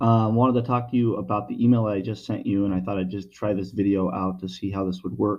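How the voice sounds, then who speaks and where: This man has an unremarkable speaking voice, pitched fairly low with ordinary pitch variation. He talks at a fairly quick pace. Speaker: lighting sales representative. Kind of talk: product explanation video message. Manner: casual, with many fillers.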